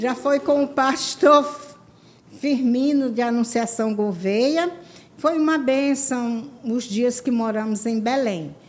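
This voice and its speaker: Noticeable background noise sits under a woman speaking at a very slow pace. Her voice is high, with ordinary pitch variation. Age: 70s. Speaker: church women's ministry leader. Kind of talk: testimony.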